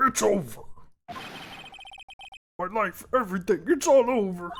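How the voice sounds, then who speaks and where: A put-on character voice, shouting at a fairly high pitch and a fairly slow pace. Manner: screaming in despair.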